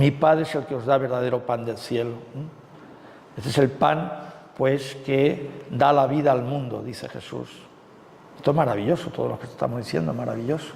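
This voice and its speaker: At a moderate pace and with long, frequent pauses, a man of medium pitch speaks with ordinary pitch variation over noticeable background noise. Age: 60s. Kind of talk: retreat talk. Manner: conversational with frequent fillers.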